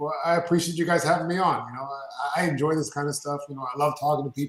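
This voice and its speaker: With a Canadian accent, a man speaks at a very fast pace and a fairly high pitch, with ordinary pitch variation. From Canada, Toronto area. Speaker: orthodontist and business owner. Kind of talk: podcast interview. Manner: energetic.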